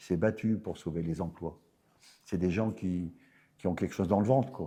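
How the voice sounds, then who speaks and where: This man has a very deep, low voice with a dark, mellow tone, speaking at a moderate pace with ordinary pitch variation. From northern France, Nord. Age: 70s. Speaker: mayor, politician. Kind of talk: interview. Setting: theatre. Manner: animated.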